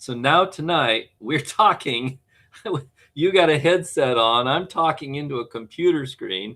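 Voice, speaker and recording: Using lively intonation, a man with a fairly high pitch talks at a fairly slow pace. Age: 60s. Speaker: game designer. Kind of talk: casual chat. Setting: video call.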